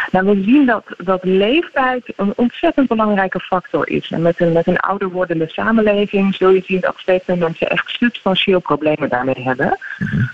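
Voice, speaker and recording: With a normal speaking voice, a woman talks at medium pitch and a moderate pace, using lively intonation and hardly any pauses. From Netherlands. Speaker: neuropsychologist. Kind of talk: radio interview.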